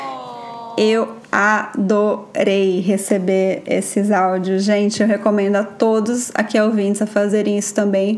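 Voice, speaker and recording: Noticeable background noise sits behind a woman's voice. She speaks at a fairly slow pace with a fairly high pitch. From Brazil, São Paulo state interior. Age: 30s. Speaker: podcast host, educator. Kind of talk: casual monologue. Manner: animated.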